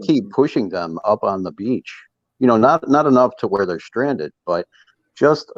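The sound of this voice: A man with a Minnesotan accent speaks at a moderate pace and medium pitch, with lively intonation and a dry, close sound with no echo. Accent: Minnesota.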